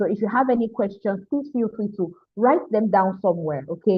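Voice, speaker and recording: With a Nigerian accent, the speaker talks at a moderate pace. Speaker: mental health therapist and coach. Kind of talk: online mentorship talk. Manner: animated.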